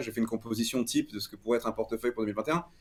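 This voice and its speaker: Going at a very fast pace, a man speaks with ordinary pitch variation. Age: 20s. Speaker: crypto media founder. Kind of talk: interview. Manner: halting, many repetitions.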